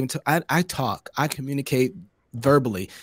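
At a moderate pace, a man with a Southern US accent speaks at a fairly high pitch, with a dry, close sound and no echo. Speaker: podcast host. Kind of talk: casual chat. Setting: video call.

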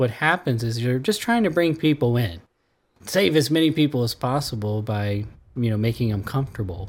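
A man speaks at a medium pitch and moderate pace with lively intonation, in a normal speaking voice. The recording is very clean, with a silent background. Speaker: radio host. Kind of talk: casual interview discussion.

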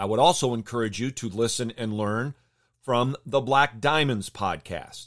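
With a normal speaking voice and an American accent, a man talks at a moderate pace and medium pitch with ordinary pitch variation, in a very clean recording with a silent background and a dry, close sound with no echo. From Michigan, US Midwest. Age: 50s. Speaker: baseball podcast host, pitching coach. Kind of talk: podcast monologue commentary.

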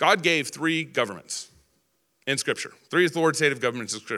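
On a very clean recording with a silent background, a man with an American accent uses a bright, sharp tone. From Texas. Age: 40s. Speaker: political speaker. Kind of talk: political speech.

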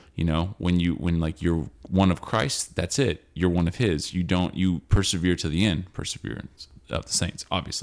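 A man's very deep, low voice carries ordinary pitch variation at a moderate pace. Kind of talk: casual theological chat. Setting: home recording. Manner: loud.

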